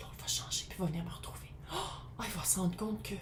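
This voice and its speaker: A woman in a Quebec accent with ordinary pitch variation, plus audible room echo and noticeable background noise. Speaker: tarot reader. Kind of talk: tarot reading. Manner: casual, conversational.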